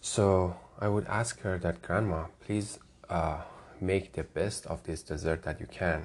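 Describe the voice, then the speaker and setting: A man with a Persian accent speaks at a fairly slow pace in a very deep, low pitch. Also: ordinary pitch variation. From Iran, Tehran. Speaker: podcast host. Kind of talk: personal monologue.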